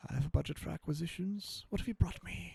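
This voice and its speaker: A man whispers breathily in a put-on character voice at a very fast pace, his loudness swinging widely. The sound is dry and close, with no echo. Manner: whispering, breathy.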